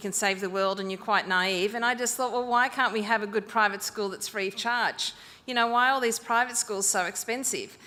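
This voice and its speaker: Speaking with an Australian accent, a woman with a bright, sharp tone and a fairly high pitch talks at a fairly quick pace with fairly even intonation. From rural northern New South Wales, Australia. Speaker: school founder. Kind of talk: presentation to an audience.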